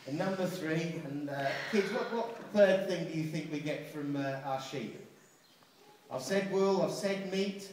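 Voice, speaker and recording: A man's high-pitched voice at a fairly slow pace with ordinary pitch variation, amid noticeable background noise and audible room echo. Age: 60s. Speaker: farm show presenter. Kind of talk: live show for an audience. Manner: animated.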